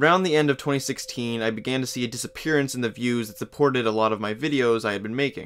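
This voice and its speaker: A man talks at a very fast pace with hardly any pauses. His pitch is medium, and there is noticeable background noise. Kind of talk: video essay narration. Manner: monotone.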